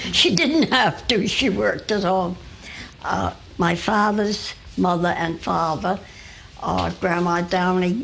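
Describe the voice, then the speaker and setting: Fairly slow speech from a woman with an American accent, over noticeable background noise. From Newport, Rhode Island, US (Fifth Ward). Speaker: local elder recounting family history. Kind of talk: oral history interview. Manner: halting, with many fillers.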